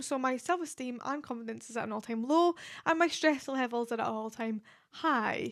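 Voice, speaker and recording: In a Scottish accent, a woman talks at a fairly quick pace with a high pitch and ordinary pitch variation. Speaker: podcast host. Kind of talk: casual monologue. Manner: hesitant, stumbling on words.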